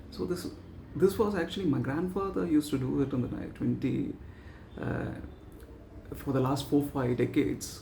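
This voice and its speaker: Amid audible room echo, a man talks at a moderate pace with long, frequent pauses. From South India. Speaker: vlogger practising public speaking. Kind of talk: extempore speaking practice monologue. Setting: talking to camera. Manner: halting, many pauses and fillers.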